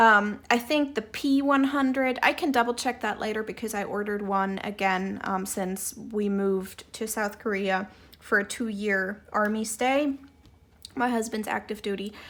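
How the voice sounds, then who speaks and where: A woman speaks with a German accent at a moderate pace. Her pitch is fairly high, with ordinary pitch variation. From Germany. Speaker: doll hobbyist vlogger. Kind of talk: tutorial. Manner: hesitant, many fillers.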